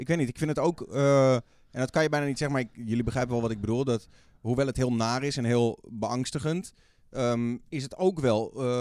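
A man at medium pitch, fairly quick pace, ordinary pitch variation. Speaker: radio host and streamer. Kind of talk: casual chat. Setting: studio.

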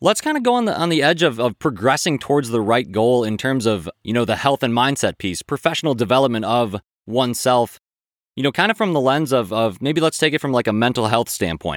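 In an unremarkable speaking voice, a man talks at a fairly quick pace with lively intonation. The recording is very clean and dry, with a silent background and no echo. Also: medium pitch for a man. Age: 30s. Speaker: podcast host. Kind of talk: interview.

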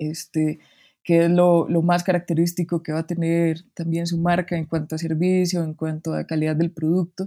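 A woman's fairly low, dark and mellow voice at a moderate pace, monotone and flat, dry and close with no echo, on a very clean recording with a silent background. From Costa Rica, Heredia. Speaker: graphic designer. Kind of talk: interview conversation.

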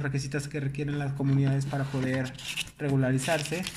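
A man with a fairly high pitch talks at a fairly quick pace. Room echo is audible, and background noise is noticeable. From Mexico, León (Guanajuato). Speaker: director of a housing nonprofit. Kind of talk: casual interview.

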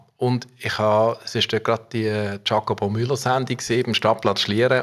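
This man speaks at a moderate pace in a fairly low pitch, with flat, monotone intonation. The recording is very clean, with a silent background. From Basel region, Switzerland (Muttenz). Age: 50s. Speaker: civil engineer and rail project manager. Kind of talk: interview. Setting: office.

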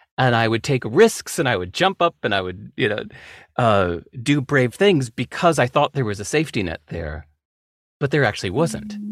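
A man's voice swings very widely in pitch, with vocal fry. The sound is dry and close, with no echo. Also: medium pitch for a man, moderate pace. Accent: American. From California. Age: 50s. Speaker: author. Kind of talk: casual chat.

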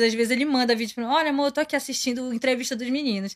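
A woman with a high voice talks at a very fast pace, keeping her intonation fairly even. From Pará, Brazil. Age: 20s. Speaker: K-pop fan club member. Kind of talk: casual interview chat.

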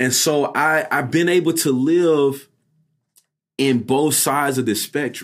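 This man, with an American accent, has an unremarkable speaking voice pitched fairly high. He speaks at a fairly slow pace, with very even loudness and fairly even intonation. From US South, Statesboro, Georgia. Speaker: choir director and music doctoral student. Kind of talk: casual interview conversation.

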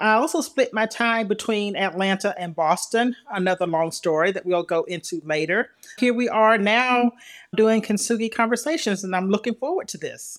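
A woman's fairly high voice in a Southern US accent, with ordinary pitch variation at a moderate pace, on a very clean recording with a silent background. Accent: Southern US (Georgia). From US South, Milledgeville, Georgia. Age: 60s. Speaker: podcast co-host, author and motivational speaker. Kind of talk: casual chat.

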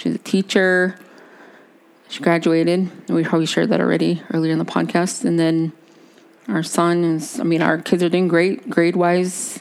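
A woman's normal speaking voice, fairly low in pitch, at a moderate pace with fairly even intonation and very even loudness. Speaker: podcast co-host. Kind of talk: casual chat. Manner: chatty, talkative.

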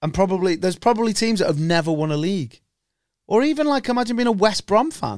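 Delivered at a very fast pace, the speech has lively intonation and a northwest English accent. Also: man, high pitch for a man. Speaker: podcast host, football fan. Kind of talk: casual banter chat. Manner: joking, profane, banter.

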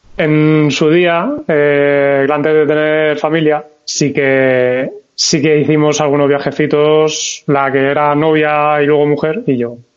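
A man speaks very slowly in a fairly high, monotone voice, with hardly any pauses and very even loudness. Room echo is audible. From Valencia, Spain. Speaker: motorcyclist, podcast listener. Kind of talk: casual chat.

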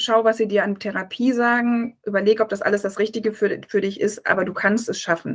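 Fairly high-pitched and monotone, a woman speaks flatly at a fairly quick pace with hardly any pauses. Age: 40s. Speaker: press officer and author, breast cancer survivor. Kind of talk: interview, personal testimony.

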